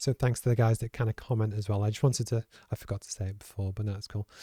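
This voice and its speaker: The voice has a dark, mellow tone and sounds somewhat breathy. The recording is very clean with a silent background, dry and close with no echo. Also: man. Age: 40s. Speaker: podcast host. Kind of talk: casual chat. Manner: halting.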